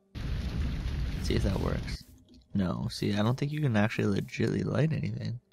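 A man speaks quietly at a moderate pace in a very deep, low pitch with very wide pitch swings. Noticeable background noise runs underneath. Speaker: gaming video creator. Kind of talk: gameplay commentary. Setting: home recording late at night. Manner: quiet, low voice. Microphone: new microphone.

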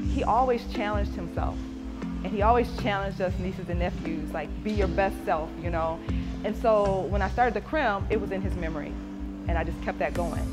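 A woman at a fairly quick pace over clear music in the background. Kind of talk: interview answer. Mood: proud, sentimental. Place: gym.

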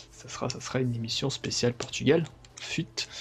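Music plays in the background as a man of medium pitch talks at a moderate pace with fairly even intonation. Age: 20s. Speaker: gaming youtuber. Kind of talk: gameplay commentary. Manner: hesitant, many fillers.

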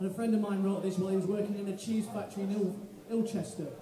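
A man talks fast in a high pitch with a dark, mellow tone and little pitch movement. Room echo is audible.

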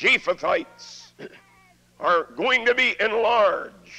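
A man's raised, projected voice at an extremely high pitch, with lively intonation over noticeable background noise. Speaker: preacher. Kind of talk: sermon.

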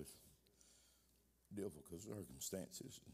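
A man speaks at a low pitch in a dark, mellow tone.

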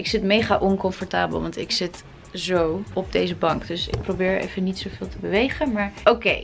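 A woman at a moderate pace, clear music playing behind her. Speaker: vlogger. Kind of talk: casual vlog chat. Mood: calm, reflective. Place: home room. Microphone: phone near.

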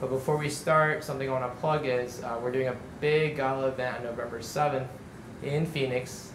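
The speech is fairly quick with monotone, flat intonation over noticeable background noise. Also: man. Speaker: event host. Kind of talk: event introduction to audience. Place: cafe.

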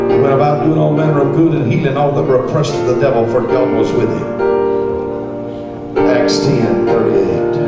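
A man at a fairly quick pace with long, frequent pauses, loud music in the background and audible room echo. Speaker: preacher. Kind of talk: sermon. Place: church.

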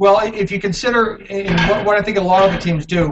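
Over noticeable background noise, a man speaks with fairly even intonation. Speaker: football team sales executive. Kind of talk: video call panel interview. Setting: video call from building common area. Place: home room. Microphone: video call.

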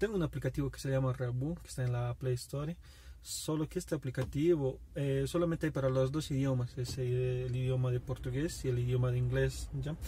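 A man speaks at a moderate pace. The sound is dry with no echo, and there is light background noise. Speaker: taxi app driver vlogger. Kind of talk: casual vlog chat. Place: car. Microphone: phone near.

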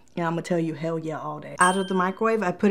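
Animated in tone, a woman speaks at a fairly low pitch over light background noise. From Puerto Rico. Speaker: YouTuber, product reviewer. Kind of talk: casual product review vlog. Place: studio.

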